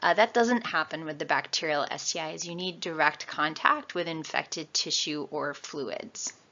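A woman with a normal speaking voice and an American accent talks at a fairly slow pace and a fairly low pitch, with ordinary pitch variation, big swings in loudness and hardly any pauses. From New York State. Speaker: lecturer. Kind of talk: lecture. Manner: casual.

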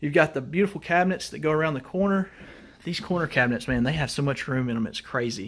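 The pace is very fast, with lively intonation. The accent is American. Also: man, fairly high pitch for a man. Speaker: mobile home tour video host. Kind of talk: home tour walkthrough. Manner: enthusiastic. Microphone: phone near.

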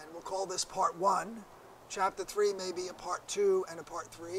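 A man speaks high for a man with fairly even intonation over noticeable background noise. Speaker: Bible teacher. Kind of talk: Bible teaching lecture.

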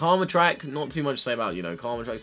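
A man speaks while faint music sits in the background. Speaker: YouTuber, K-pop reactor. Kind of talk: casual reaction commentary. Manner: fast-talking. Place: home room. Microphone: webcam.

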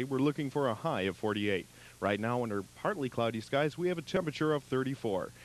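At a fairly quick pace, a man speaks with very wide pitch swings, in a dry sound with no echo. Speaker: radio newscaster. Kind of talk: radio news update. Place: studio. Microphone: studio mic.

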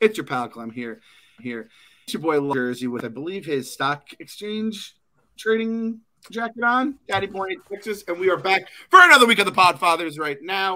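A man projects a raised, high-pitched voice with a bright, sharp tone and very wide pitch swings. His loudness swings widely, and his pace is moderate. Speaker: podcast host. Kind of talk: casual chat. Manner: animated.

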